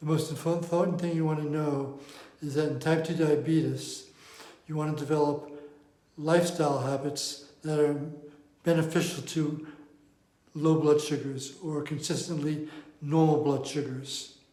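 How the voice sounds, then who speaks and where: A fairly high-pitched man speaks at a moderate pace in a monotone, flat intonation, with long, frequent pauses, audible room echo and noticeable background noise. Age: 70s. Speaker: diabetes coach. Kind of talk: talking-head explainer.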